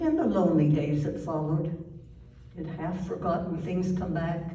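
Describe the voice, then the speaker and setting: Noticeable background noise sits behind a woman's fairly low voice. She speaks at a moderate pace with fairly even intonation. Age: 80s+. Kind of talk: poetry reading.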